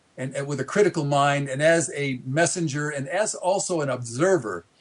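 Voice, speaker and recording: At a moderate pace, a man speaks with ordinary pitch variation in a somewhat breathy voice. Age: 60s. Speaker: author and population activist. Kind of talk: interview. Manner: halting, many repetitions and fillers; animated.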